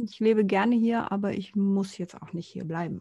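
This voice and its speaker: Somewhat breathy, a woman's voice sits at medium pitch. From Konstanz, southern Germany (Lake Constance). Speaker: podcast co-host. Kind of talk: casual chat.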